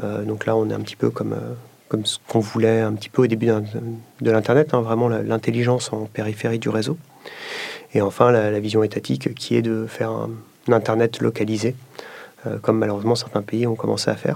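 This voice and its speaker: Over noticeable background noise, a man at medium pitch speaks at a fairly quick pace in a flat monotone. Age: 30s. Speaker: tech company executive. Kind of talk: interview testimony.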